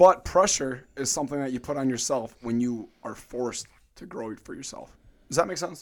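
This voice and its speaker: This man has an American accent, a medium pitch and a fairly quick pace, with ordinary pitch variation. It is an ordinary speaking voice, captured in a very clean recording with a silent background. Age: 20s. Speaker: fitness coach. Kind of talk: casual chat. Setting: studio.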